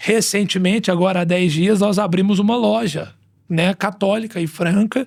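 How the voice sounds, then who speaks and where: Very even in loudness, a man speaks at a high pitch. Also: ordinary pitch variation, moderate pace. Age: 30s. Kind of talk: testimony; casual chat.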